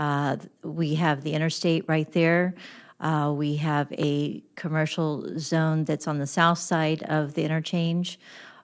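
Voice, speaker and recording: This woman speaks at a fairly slow pace with a US Midwestern accent, her very deep, low pitch held in a monotone, flat intonation against a quiet background. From east-central Illinois. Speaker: village mayor. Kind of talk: public testimony at county board meeting. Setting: county board committee meeting. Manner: halting, many fillers and restarts; loud.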